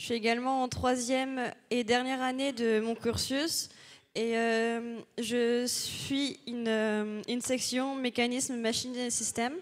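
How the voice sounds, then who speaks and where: Over noticeable background noise, a woman speaks very slowly in a high, monotone voice with flat intonation. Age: 20s. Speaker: engineering student. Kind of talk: conference talk. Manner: hesitant, many fillers.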